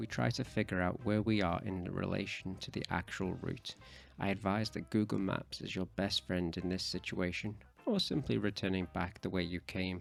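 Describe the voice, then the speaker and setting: A man with a very deep, low voice speaks at a moderate pace, with vocal fry and ordinary pitch variation. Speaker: travel vlogger narrating audio description. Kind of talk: scripted narration.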